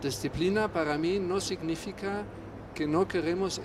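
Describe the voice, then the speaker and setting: A man with a German accent at a very slow pace, against noticeable background noise. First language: German (speaking Spanish). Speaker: reinsurance executive. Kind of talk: panel discussion.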